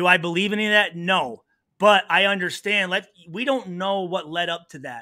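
A man with an American accent speaks at a moderate pace in a high voice, his pitch varying in an ordinary way while his loudness swings widely against a quiet background. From US Midwest. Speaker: retired pro football player; podcast guest. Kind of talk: interview. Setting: video call. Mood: earnest, reflective. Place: home room. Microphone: studio mic.

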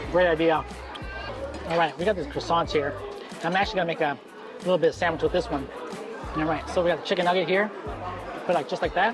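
A man speaks at a very fast pace and high pitch with fairly even intonation. The sound is dry with no echo, and clear music plays in the background. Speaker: food vlogger. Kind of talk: casual vlog chat. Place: cafe. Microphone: lapel.

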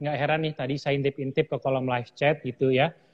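Against a quiet background, a man speaks very fast in a somewhat breathy voice. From Indonesia. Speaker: livestream host. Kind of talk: interview. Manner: animated. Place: studio.

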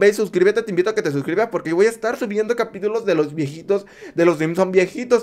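A man talks at a very fast clip in a high voice. The background is quiet. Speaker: reaction youtuber. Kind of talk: casual reaction commentary. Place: home room. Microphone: studio mic.

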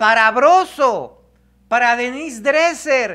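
His tone comes across bright and sharp. The man takes a fairly slow pace.

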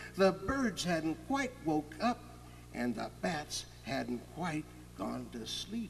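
A man talks at a very slow pace, with light background noise behind him. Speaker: author. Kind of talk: children's story reading. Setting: outdoors, with orchestral backing. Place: forest.

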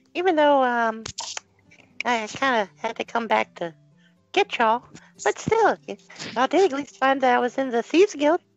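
In a put-on character voice, a female-sounding voice speaks high-pitched at a moderate pace, with long, frequent pauses. Faint music plays in the background. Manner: earnest, friendly.

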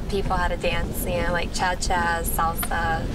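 Loud background noise fills this dry recording with no echo as a woman speaks at a fairly slow pace. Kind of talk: casual date conversation. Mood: playful, flirty. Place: car.

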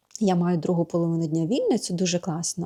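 Her tone is dark and mellow, her pitch fairly low for a woman, and she speaks at a moderate pace. The sound is dry and close, with no echo. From Ukraine. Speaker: vlogger and yoga teacher. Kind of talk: casual vlog chat. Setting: home yoga studio.

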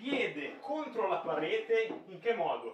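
Amid audible room echo, a man talks at a very slow pace. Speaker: fitness trainer. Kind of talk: tutorial. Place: gym. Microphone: camera far.

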